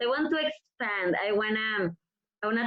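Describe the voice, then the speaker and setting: In a Mexican accent, a woman talks at a moderate pace. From Mexico. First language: Spanish. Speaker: professional wrestler. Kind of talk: interview.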